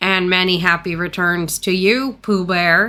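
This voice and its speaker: Using a put-on character voice, a woman talks at a fairly slow pace and a medium pitch. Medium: read story. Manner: gloomy, deadpan.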